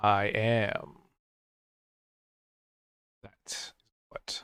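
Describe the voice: A booming, put-on character voice from a man at medium pitch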